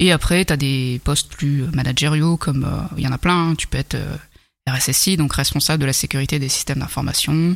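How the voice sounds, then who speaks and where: Very deep, low female speech, moderately paced and fairly even in intonation. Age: 30s. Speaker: cybersecurity engineer. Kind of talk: casual interview.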